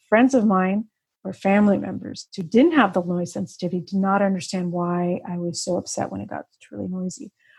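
On a very clean recording with a silent background, a woman speaks at a fairly quick pace, somewhat breathy and with ordinary pitch variation. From Russia. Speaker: author and vision therapy advocate. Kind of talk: interview.

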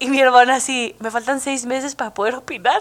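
A woman with a Mexican accent speaks in an animated tone at a high pitch. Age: 20s. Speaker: podcast host. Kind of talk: casual monologue.

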